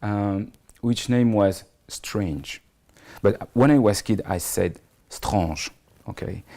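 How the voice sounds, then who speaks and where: Speaking with a French accent, a man talks at a very slow pace with long, frequent pauses. His voice is fairly low with a dark, mellow tone and ordinary pitch variation. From France. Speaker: comics writer and screenwriter. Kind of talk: interview. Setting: his office in Paris. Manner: halting.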